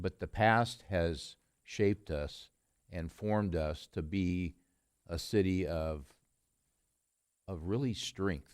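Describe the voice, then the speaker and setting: On a very clean recording with a silent background, a man with a very deep, low voice speaks at a very slow pace, with ordinary pitch variation and long, frequent pauses. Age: 70s. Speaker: city council member. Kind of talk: council meeting remarks. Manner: halting, many fillers.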